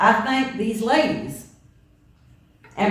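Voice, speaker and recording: A woman with a Southern US accent speaks at a medium pitch amid noticeable background noise. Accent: Southern US (Georgia). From US South, Georgia (Statesboro). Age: 70s. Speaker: minister. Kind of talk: sermon.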